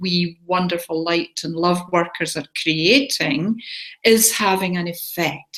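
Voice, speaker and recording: This woman has an ordinary speaking voice, fairly low in pitch with ordinary pitch variation. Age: 60s. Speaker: spiritual healer and show host. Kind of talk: casual talk to a live online audience.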